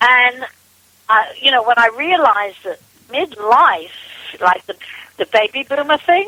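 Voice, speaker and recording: A woman's high voice with very wide pitch swings. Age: 70s. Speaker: women's business coach. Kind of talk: interview.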